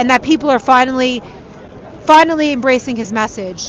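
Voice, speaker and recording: A woman talks with a New York accent at a high pitch and a fairly quick pace. Her intonation is fairly even, with noticeable background noise behind her. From New York City, Queens. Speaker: street reporter. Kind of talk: live street reporting. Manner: casual, conversational.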